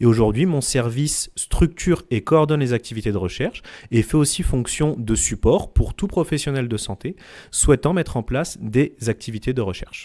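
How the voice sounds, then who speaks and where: A man's dark, mellow tone with lively intonation, on a very clean recording with a silent background. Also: medium pitch for a man, moderate pace. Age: 30s. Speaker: clinical researcher. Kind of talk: interview.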